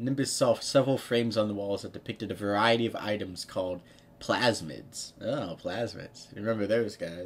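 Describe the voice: This is plain reading aloud, and its pitch shifts in an ordinary way.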